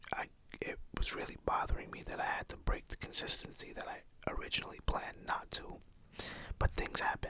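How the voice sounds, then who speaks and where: A whisper at a fairly quick pace. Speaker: ASMR creator, parent. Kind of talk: ASMR whispered ramble. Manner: whispered.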